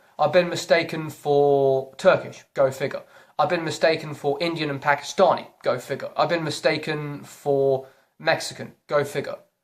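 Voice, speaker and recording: A British accent at a moderate pace. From Britain. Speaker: YouTuber. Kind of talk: opinion vlog rant. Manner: animated.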